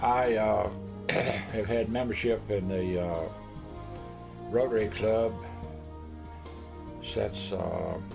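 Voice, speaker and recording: Over music in the background, a man with a fairly low pitch and an American accent speaks at a very slow pace with fairly even intonation and long, frequent pauses. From Middle Tennessee, USA. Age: old. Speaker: retired businessman. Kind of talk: interview answer.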